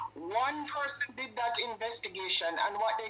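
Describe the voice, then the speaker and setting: The speech moves at a moderate pace. Noticeable background noise runs under it. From Jamaica. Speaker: caller to a live stream show. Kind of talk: political call-in rant. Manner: impassioned, emphatic.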